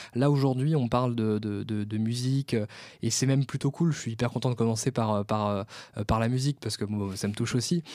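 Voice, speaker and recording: A man speaks at a fairly quick pace with a medium pitch and a dark, mellow tone. His intonation is fairly even, and the recording is very clean with a silent background. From France, Vendée. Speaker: podcast host and events company founder. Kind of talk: casual interview.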